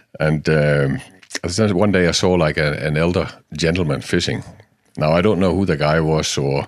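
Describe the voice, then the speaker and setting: A man with a Danish accent. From Denmark, Jutland. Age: 50s. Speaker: salmon fishing guide. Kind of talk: interview. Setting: outdoors by a river.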